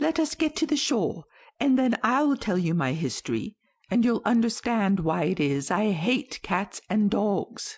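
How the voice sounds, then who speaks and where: Someone speaks in a put-on character voice that sounds shaky. The pace is moderate. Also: female-sounding voice, medium pitch for a woman. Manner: indignant, emotional.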